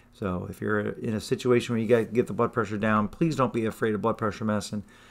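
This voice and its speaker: This man has a medium pitch and fairly even intonation. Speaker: family doctor. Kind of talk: health talk. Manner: monotone; hesitant, many fillers.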